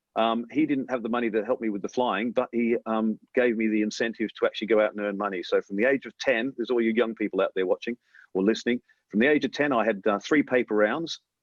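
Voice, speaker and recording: With an Australian accent, a man speaks very fast at a medium pitch and with fairly even intonation. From Australia (Melbourne). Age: 50s. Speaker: airline pilot. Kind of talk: interview storytelling. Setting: remote interview from New York.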